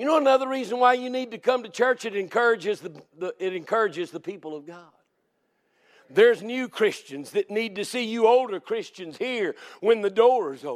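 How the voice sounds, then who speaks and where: Over a very clean recording with a silent background, a man with a Southern US accent talks at a fairly quick pace in an extremely high pitch. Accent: Southern American. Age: 60s. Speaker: Baptist preacher. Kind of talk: sermon. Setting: church.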